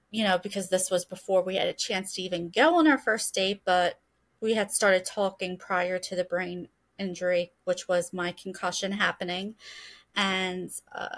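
A woman's speech, with fairly even intonation and a moderate tempo, comes through over a quiet background. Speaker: podcast guest. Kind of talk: interview answer. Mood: calm, earnest. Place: home room. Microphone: webcam.

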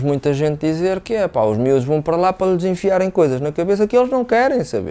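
Here a man speaks at a very fast pace in a dark, mellow tone. His intonation is lively. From Venezuela. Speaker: tech professional. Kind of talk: casual chat. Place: studio. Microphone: lapel.

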